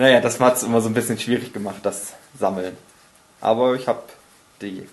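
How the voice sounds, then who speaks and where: A man at medium pitch, with fairly even intonation, a fairly quick pace and long, frequent pauses. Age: 20s. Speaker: podcast host. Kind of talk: casual chat.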